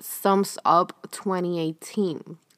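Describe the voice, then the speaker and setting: The recording of this woman is very clean with a silent background, and the sound is dry and close with no echo. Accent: Spanish. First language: Spanish. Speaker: podcast host. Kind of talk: casual monologue.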